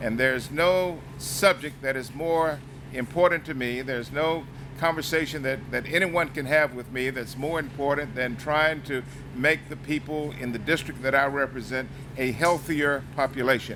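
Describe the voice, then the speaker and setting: With an American accent and a fairly high pitch, a man speaks with fairly even intonation over noticeable background noise. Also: moderate pace. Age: 60s. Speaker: congressman. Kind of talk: public speech. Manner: halting.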